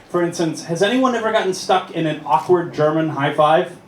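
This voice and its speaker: A man with an American accent speaks at a high pitch, with ordinary pitch variation. Noticeable background noise and audible room echo are present. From United States. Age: 30s. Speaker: comedian. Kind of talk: stand-up. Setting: stage with audience. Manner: animated.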